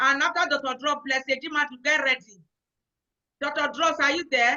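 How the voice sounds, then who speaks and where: A woman with a Nigerian accent speaks at a moderate pace in a high voice, her loudness very even and her intonation flat and monotone. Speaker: event host. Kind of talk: online event hosting.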